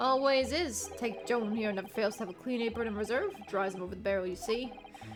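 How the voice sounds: Ordinary pitch movement in a natural reading voice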